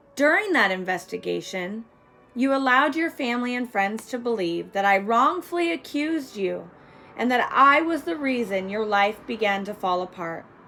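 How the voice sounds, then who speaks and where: A woman's fairly high voice at a moderate pace, swinging very widely in pitch, with music in the background. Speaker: domestic violence survivor. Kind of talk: victim impact statement read aloud.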